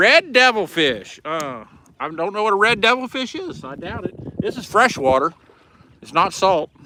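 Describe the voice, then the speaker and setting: A high-pitched man talks at a moderate pace in a raised, projected voice. His pitch swings very widely and his loudness rises and falls a lot. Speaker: fishing livestreamer. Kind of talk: casual live stream chat while fishing. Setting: outdoors on a boat.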